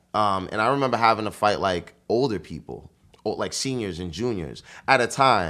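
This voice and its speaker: In a New York accent, a man speaks at a fairly low pitch and moderate pace, his intonation lively and his tone bright and sharp. The recording is very clean, with a silent background. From Bronx, New York. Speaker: marketing executive and party promoter. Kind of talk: casual interview chat. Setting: studio.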